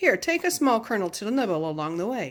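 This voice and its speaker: In a put-on character voice, a woman talks at a fairly quick pace with a fairly high pitch and very wide pitch swings, recorded very cleanly with a silent background. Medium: read story.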